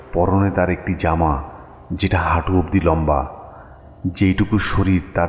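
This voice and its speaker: A man's intonation stays fairly even in a very deep, low pitch. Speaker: audio story narrator. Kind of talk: horror audio story narration.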